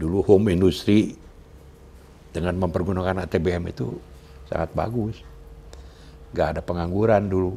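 A man speaks in a very deep, low pitch. His delivery has long, frequent pauses. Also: fairly even intonation, moderate pace. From Majalaya, West Java, Indonesia; West Java, Indonesia. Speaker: son of a national historical figure, interviewee; interviewee. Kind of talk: interview. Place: home room. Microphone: lapel.

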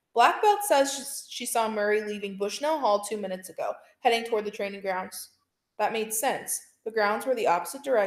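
Over a quiet background, the reading voice sounds natural.

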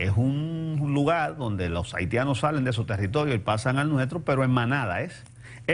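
At a moderate pace, a man talks in a medium pitch with a somewhat breathy quality. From Dominican Republic. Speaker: TV talk show host. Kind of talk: TV news commentary. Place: studio.

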